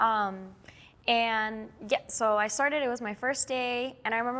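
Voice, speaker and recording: A woman speaks at a moderate pace in a bright, sharp tone with a fairly high pitch. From Miami, Florida (Cuban-American). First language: Spanish. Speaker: nurse. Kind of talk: casual interview.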